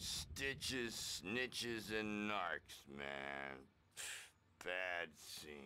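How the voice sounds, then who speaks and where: In a put-on character voice, the speaker goes very slowly with very wide pitch swings. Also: man, very deep, low pitch for a man. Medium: video game. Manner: hippie slang.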